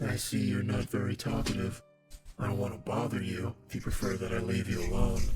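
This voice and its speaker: Over loud background music, a man puts on a character voice, talking at a fairly quick pace and a fairly low pitch. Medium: machinima. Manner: calm, measured.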